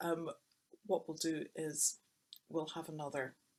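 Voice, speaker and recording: The speaker talks at a moderate pace with a Scottish accent. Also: woman. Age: 60s. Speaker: writer and illustrator. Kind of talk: personal testimony in a webinar talk. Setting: recorded webinar. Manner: conversational with hesitations.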